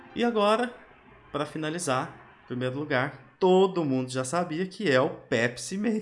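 A man's fairly high voice at a moderate pace, broken by long, frequent pauses. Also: lively intonation. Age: 30s. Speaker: podcast host. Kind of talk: casual chat.

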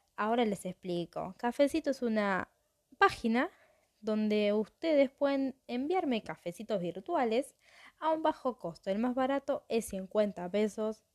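Over a quiet background with a dry, close sound and no echo, a woman speaks at a fairly slow pace in a fairly high pitch with lively intonation. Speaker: true crime podcast host. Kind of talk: casual storytelling monologue.

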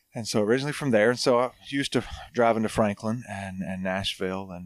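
Words come at a very fast pace with ordinary pitch variation in a very clean recording with a silent background. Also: man. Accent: Southern US. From North Alabama. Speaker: pastor. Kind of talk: casual chat.

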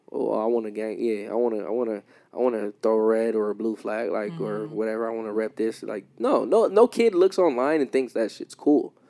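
With an American accent, a man talks at a fairly quick pace. He leaves hardly any pauses. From Los Angeles. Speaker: podcast host. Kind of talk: casual chat.

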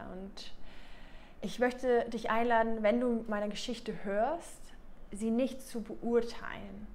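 Fairly slow speech from a woman pitched fairly high, amid audible room echo. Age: 30s. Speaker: love and relationship coach. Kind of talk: personal video monologue.

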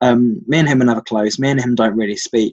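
In a London accent, a man with medium pitch and ordinary pitch variation speaks at a very fast pace. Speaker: university student. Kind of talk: casual chat. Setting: conference call.

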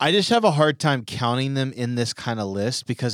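A man with an unremarkable speaking voice talks at a moderate pace and medium pitch, his intonation lively. The sound is dry and close, with no echo. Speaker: student pastor podcast co-host. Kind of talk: casual chat. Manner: jokey.

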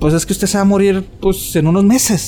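The speaker talks at a fairly quick pace with a Mexican accent. Music plays in the background. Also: man. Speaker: podcast co-host. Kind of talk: casual chat. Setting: cemetery.

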